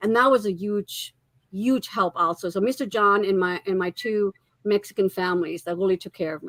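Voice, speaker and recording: The voice carries a German accent. The sound is dry and close, with no echo. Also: woman, medium pitch for a woman, ordinary pitch variation, moderate pace. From Germany, moved to the US at about age 10. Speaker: marriage and family therapist, author. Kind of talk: interview.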